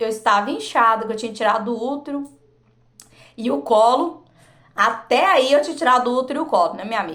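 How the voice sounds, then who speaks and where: Her tone animated and her intonation lively, a woman talks at a fairly quick pace with a fairly high pitch. She leaves long, frequent pauses. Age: 40s. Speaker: vlogger. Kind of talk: personal testimony.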